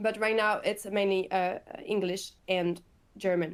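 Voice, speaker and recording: A woman speaks with a French accent. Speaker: company growth manager. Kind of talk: webinar Q&A answer. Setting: online webinar.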